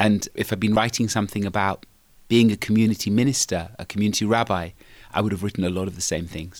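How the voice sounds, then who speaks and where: Recorded very cleanly against a silent background, a man with a fairly low voice talks very fast. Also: fairly even intonation. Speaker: rabbi and author. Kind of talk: interview.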